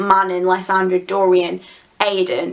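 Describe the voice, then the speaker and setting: A woman with a British accent. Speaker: book reviewer. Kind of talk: casual chat.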